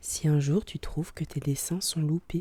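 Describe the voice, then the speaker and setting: Soft-spoken, the voice moves at a very slow pace. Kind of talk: ASMR soft-spoken story reading.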